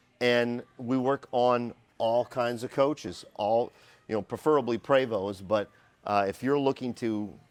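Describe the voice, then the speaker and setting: On a very clean recording with a silent background, a man talks at a fairly slow pace and a medium pitch. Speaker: company video host. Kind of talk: walkthrough tour. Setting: service floor of a workshop. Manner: energetic.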